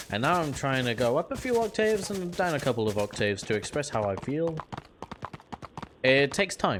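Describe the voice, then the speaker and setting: Over noticeable background noise, a man with a fairly high pitch talks at a fairly quick pace, broken by long, frequent pauses. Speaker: streamer playing a roleplay game. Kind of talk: casual out-of-character chat. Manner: monotone.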